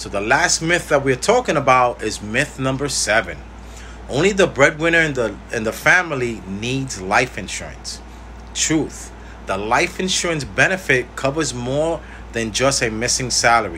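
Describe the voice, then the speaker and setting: A man talks at a moderate pace. Light background noise can be heard. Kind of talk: informational talk to camera. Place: home room. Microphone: phone near.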